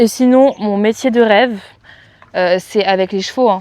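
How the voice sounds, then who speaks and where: A woman speaks at a moderate pace. Her medium-pitched voice has fairly even intonation. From France, countryside. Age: 20s. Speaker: equestrian vlogger. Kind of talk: casual Q&A vlog. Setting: at parents' home with animals. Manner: casual, hesitant with many fillers.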